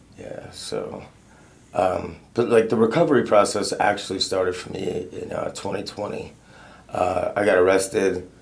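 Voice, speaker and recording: A man at a moderate pace, his loudness swinging widely, with audible room echo. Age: 30s. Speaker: person in recovery. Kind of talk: testimony. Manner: casual.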